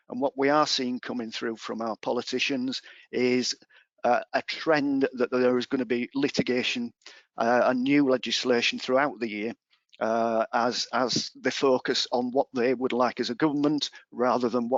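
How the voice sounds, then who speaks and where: A monotone, flat delivery at a moderate pace, in an English accent. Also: man. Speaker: employment law advisor. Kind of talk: webinar presentation. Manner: hesitant fillers.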